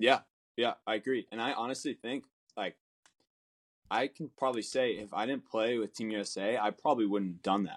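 Speaking at a fairly quick pace with an American accent, a man leaves long, frequent pauses. His medium-pitched voice has fairly even intonation and a dry, close sound with no echo. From Southern California. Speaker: professional baseball player. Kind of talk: interview. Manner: halting.

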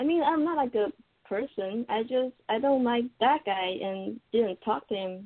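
Speaking at a moderate pace with a non-native accent, a woman uses lively intonation at a fairly high pitch. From Taiwan. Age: 20s. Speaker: caller. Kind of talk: call-in advice. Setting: computer call. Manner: halting.

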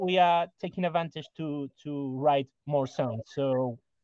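A man with a Spanish accent talks with ordinary pitch variation. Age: 40s. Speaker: rock musician. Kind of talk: interview. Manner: halting, many repetitions.

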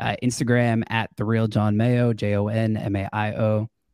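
A man with an American accent speaks with a fairly low pitch and a dark, mellow tone in a monotone, flat way, the sound dry and close with no echo on a very clean recording with a silent background. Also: big swings in loudness. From Long Island, New York. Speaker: real estate wholesaler. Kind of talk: interview. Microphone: new podcast microphone kit.

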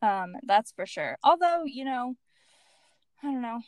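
A woman with an American accent talks at a moderate pace, her pitch fairly high and her tone animated. The sound is dry and close with no echo. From United States. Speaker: muralist. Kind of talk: casual interview chat. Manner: animated, laughing often.

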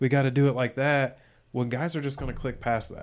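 A man with an unremarkable speaking voice, medium pitch, fairly even intonation, and a fairly quick pace on a very clean recording with a silent background. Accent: American. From US Midwest. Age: 30s. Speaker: podcast co-host. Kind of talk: casual chat.

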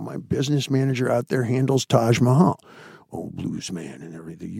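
A man speaks in a put-on character voice at a medium pitch. His delivery is raspy and fairly quick. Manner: soulful, deep-voiced.

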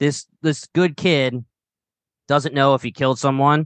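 This man speaks with a strong Philadelphia accent. His pitch is medium and his pace moderate. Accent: strong Philadelphia-area. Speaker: podcast host. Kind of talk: casual chat.

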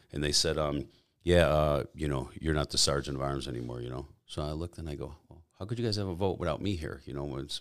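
Talking at a very fast pace, a man with a very deep, low pitch and vocal fry shows ordinary pitch variation. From US Midwest, Chicago suburbs. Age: 50s. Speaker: former biker club president, bodybuilder. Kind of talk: casual interview. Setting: studio.

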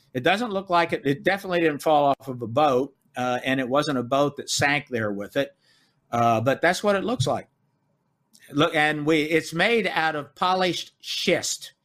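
With an American accent, the speaker uses an ordinary speaking voice at a moderate pace with lively intonation. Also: man, fairly high pitch for a man. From US South, Memphis, Tennessee. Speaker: author and researcher. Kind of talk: interview. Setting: remote call.

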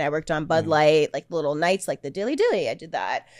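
A woman is speaking. Her pace is very fast. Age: 20s. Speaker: sex worker. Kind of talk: casual chat.

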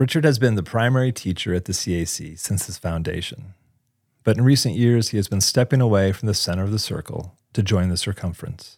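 On a very clean recording with a silent background, a man with a normal speaking voice and a fairly low pitch talks at a fairly quick pace, his pitch varying in an ordinary way. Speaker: podcast host. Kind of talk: scripted narration and interview.

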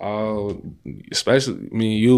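The man's voice sits at a fairly low pitch. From Chicago western suburbs, Illinois (Maywood). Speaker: musician, former basketball player. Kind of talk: casual chat.

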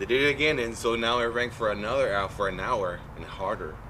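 Fairly quick speech from a man, noticeable background noise behind him. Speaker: rock band musician. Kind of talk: casual chat.

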